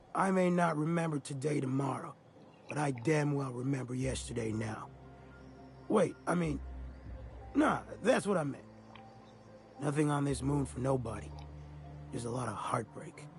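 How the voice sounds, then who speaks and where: A man puts on a raspy character voice at a medium pitch and a moderate pace. He leaves long, frequent pauses, and background noise is clearly audible. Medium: video game. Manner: rambling, folksy.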